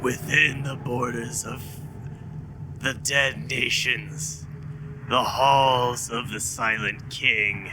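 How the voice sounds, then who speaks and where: A man uses a put-on character voice, resonant and at medium pitch, at a very slow pace. Long, frequent pauses break it up, and clear background noise runs underneath. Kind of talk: archaic formal speech. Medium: actual play. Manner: solemn, stern.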